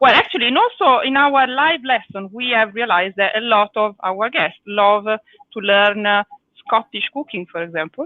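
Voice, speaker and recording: A woman's fairly high voice with lively intonation and an Italian accent. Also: moderate pace. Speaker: cooking teacher. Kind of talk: live cooking lesson. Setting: live video stream.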